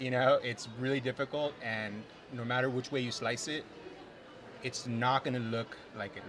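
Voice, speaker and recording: Intonation remains fairly even throughout. A non-native accent colors the speech. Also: man. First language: not English. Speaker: filmmaker. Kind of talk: interview. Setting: live at film festival theatre.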